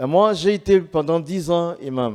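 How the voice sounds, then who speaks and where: Speaking very slowly, a man uses lively intonation at a high pitch. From Ivory Coast. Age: 60s. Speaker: former imam, convert giving testimony. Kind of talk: testimony.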